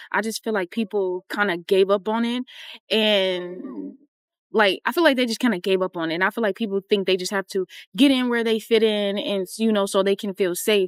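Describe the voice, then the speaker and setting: The speaker has a plain, everyday voice with ordinary pitch variation, moving at a moderate pace in a dry, close sound with no echo. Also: woman, medium pitch for a woman. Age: 20s. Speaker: YouTuber. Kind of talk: casual chat. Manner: casual, chatty.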